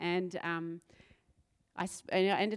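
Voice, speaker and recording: A woman with a New Zealand accent on a very clean recording with a silent background. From New Zealand, South Island. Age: 40s. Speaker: pastor. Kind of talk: sermon. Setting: church stage with audience.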